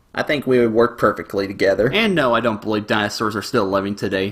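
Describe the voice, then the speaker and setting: A man at a medium pitch, very fast pace and fairly even intonation. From US South. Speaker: animator. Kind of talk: Q&A video. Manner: cheerful.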